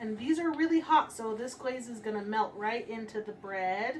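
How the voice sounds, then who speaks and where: Over noticeable background noise, a woman with an American accent and a fairly high pitch speaks at a moderate pace with ordinary pitch variation. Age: 20s. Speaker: baker and bakery owner. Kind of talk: tutorial. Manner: hesitant with fillers.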